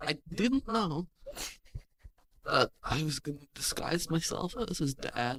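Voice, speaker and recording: A put-on character voice at a middle pitch speaks at a fairly slow pace, with long, frequent pauses. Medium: actual play. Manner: teasing, secretive.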